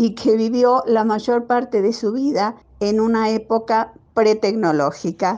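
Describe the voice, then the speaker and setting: Very slowly, a woman speaks with a dark, mellow tone at a fairly high pitch. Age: 70s. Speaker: older technology user. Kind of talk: testimony.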